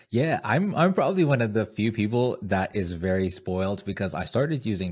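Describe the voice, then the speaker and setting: A somewhat breathy man with an American accent, fairly low pitch and lively intonation. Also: very clean recording, silent background. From Zimbabwean American. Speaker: podcaster and content creator. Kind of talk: casual interview.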